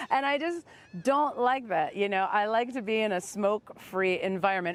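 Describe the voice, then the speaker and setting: With an American accent, a woman speaks at a fairly quick pace in an unremarkable speaking voice, medium in pitch and lively in intonation, the sound dry and close with no echo. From US Midwest. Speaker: stand-up comedian. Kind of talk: comedic monologue to camera. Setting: outdoors on the beach.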